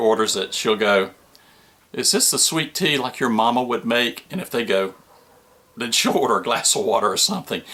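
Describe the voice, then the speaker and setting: Amid noticeable background noise, a man with an American accent speaks at a fairly quick pace, with medium pitch and ordinary pitch variation. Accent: Southern US, moderate (reduced from heavy). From US South, Georgia. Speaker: RV vlogger. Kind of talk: casual tutorial. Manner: folksy, conversational.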